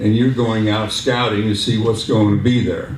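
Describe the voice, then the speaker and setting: A man with an American accent speaks at a medium pitch, with noticeable background noise and audible room echo around him. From Southern California (Santa Monica), born Salt Lake City. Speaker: war veteran. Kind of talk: speech. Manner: halting.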